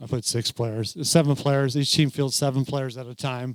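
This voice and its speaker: A man's mumbling at a medium pitch, with fairly even intonation. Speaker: youth football commissioner and coach. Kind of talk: training presentation. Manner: casual, halting.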